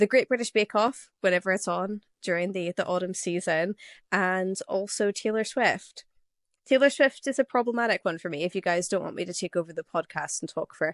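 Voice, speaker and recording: Speaking in an Irish accent, a woman moves at a fairly quick pace with ordinary pitch variation. The sound is dry and close, with no echo. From Ireland. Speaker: podcast co-host. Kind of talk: casual chat. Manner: talkative.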